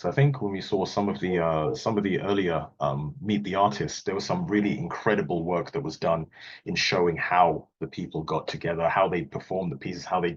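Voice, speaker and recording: Over a quiet background, a man with a British accent speaks in a very deep, low pitch with very wide pitch swings. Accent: non-Australian, British accent noted. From Wales, UK. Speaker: calligrapher and technology auditor. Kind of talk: online presentation talk. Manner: casual, light humour, some fillers.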